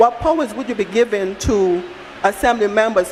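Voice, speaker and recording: Noticeable background noise accompanies a woman with a slight non-native accent who speaks fairly quickly at a fairly high pitch. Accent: slight foreign. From outside Barbados. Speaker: audience member at town hall. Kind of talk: public comment at town hall. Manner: halting, repeats words.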